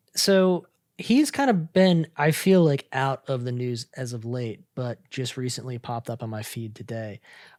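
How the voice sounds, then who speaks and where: The speech goes at a moderate pace with hardly any pauses. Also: very clean recording, silent background. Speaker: podcast host. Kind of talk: casual chat.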